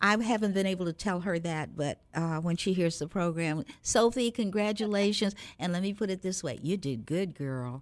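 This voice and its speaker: A woman with an ordinary speaking voice, hardly any pauses in her speech. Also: medium pitch for a woman, moderate pace. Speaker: radio host. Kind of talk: warm interview, host intro. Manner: warm, formal, inspirational.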